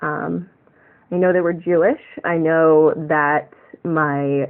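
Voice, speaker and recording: The speech moves at a very slow pace. The speaker has an American accent. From USA. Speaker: tarot vlogger. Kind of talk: casual vlog monologue. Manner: rambling, many fillers.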